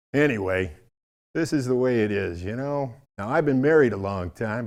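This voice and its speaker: Over a quiet background, a man has a plain, everyday voice at a medium pitch. He speaks at a moderate pace with lively intonation. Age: 60s. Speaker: stand-up comedian. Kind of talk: stand-up.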